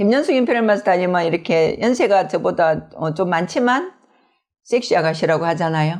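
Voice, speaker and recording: Speaking at a fairly quick pace, a woman with a strong Gyeongsang accent uses medium pitch and lively intonation. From Gyeongsang, South Korea. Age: 60s. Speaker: network marketing business leader. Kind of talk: interview. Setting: video interview.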